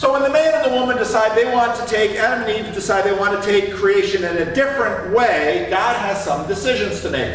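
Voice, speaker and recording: With lively intonation, a man speaks amid audible room echo and light background noise. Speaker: preacher or Sunday school teacher. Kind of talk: sermon. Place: church.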